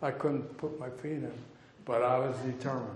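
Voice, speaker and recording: A man with a fairly high pitch talks at a moderate pace, with audible room echo and light background noise. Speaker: physician and bird conservationist; guest lecturer. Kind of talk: lecture. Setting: stage with audience. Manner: animated storyteller. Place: hall. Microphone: headset.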